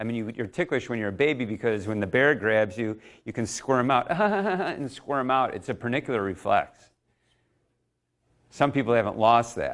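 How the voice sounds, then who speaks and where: Heard on a very clean recording with a silent background, a man in a plain, everyday voice talks at a moderate pace with ordinary pitch variation. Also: medium pitch for a man. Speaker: speed coach presenter. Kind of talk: live workshop demo.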